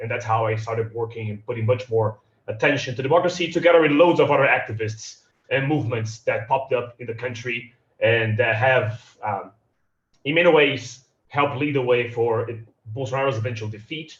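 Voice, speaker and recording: Speaking in a Portuguese accent, a somewhat breathy man talks at a fairly quick pace, his medium pitch varying in an ordinary way. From Brazil, São Paulo. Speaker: democracy advocate. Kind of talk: panel talk. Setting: video call from home. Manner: halting, repeats words.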